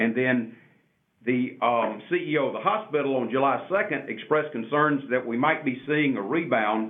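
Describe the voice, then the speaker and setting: A man talks at an even speed in a plain, everyday voice, his pitch moving up and down in a typical way. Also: medium pitch for a man. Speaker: city mayor.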